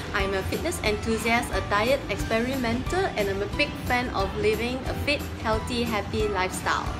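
Clear music sounds in the background while a woman speaks at a fairly slow pace. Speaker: fitness vlogger. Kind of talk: casual vlog chat. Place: gym. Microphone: phone near.

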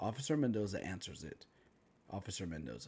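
A man speaks at a fairly quick pace with a fairly low pitch. It is a normal speaking voice. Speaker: creative writing teacher reading own story. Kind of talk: dramatic narration of a screenplay-style story, reading aloud with character lines. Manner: solemn, grave, shifting into different character voices for dialogue.

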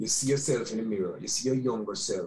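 The man's voice is somewhat breathy. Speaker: remote guest. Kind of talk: interview answer. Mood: reflective, nostalgic. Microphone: webcam.

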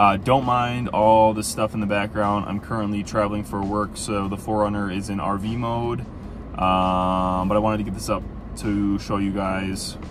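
Monotone with flat intonation, the speech moves at a moderate pace with a dry sound, no echo and noticeable background noise. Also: man, fairly low pitch for a man. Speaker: film photography creator. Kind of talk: casual vlog commentary. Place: car. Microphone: phone near.

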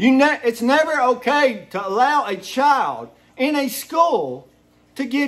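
The speaker is male. His accent is American. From Eastern Kentucky (Hazard). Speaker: video blogger. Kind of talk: angry rant to camera. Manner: animated. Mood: indignant, angry. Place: home room. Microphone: phone near.

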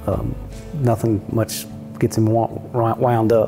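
Against clear music in the background, a man with a medium pitch speaks with fairly even intonation. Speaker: stallion manager. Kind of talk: interview answer. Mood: fond, reminiscing. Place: home room. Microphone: lapel.

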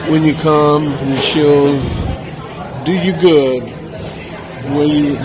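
Over crowd noise in the background, a man speaks at a very slow pace in a flat monotone. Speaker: food reviewer narrating. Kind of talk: casual vlog chat. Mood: cheerful, pleased. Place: cafe. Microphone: phone near.

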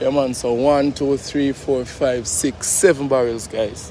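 Over noticeable background noise, a man with a Jamaican accent speaks at a medium pitch and a moderate pace. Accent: Jamaican Patois-accented English. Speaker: charity vlogger. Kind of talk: casual vlog chat. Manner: animated.

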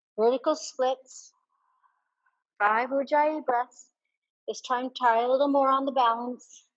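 The speaker uses a calm tone at a fairly slow pace, with long, frequent pauses. The background is quiet. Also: woman, high pitch for a woman. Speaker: yoga instructor. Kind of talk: guided yoga class, cueing poses and breath. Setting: online yoga class video. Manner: brisk, clear, directive cues, energetic; calm and encouraging. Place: home room.

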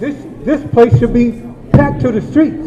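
Lively intonation at a fairly slow pace with an American accent, plus audible room echo and noticeable background noise. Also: man. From Watts, Los Angeles, California. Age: 60s. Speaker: community member, activist. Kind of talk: public comment at town hall. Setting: community town hall meeting.

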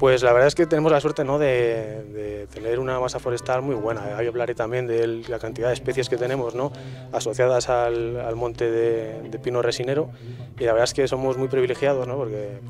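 A man talks at a fairly quick pace in a monotone, flat intonation. The sound is dry with no echo, with faint music in the background. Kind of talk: interview answer. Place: hall. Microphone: handheld.

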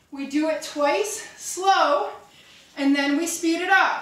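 Audible room echo carries a woman's voice. It is extremely high-pitched, with a bright, sharp tone. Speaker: fitness instructor. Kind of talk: workout class cueing. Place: empty room.

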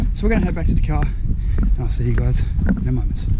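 A man talks in a dry sound with no echo, loud background noise all around. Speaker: vlogger. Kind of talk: casual vlog chat. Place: open country. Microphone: phone near.

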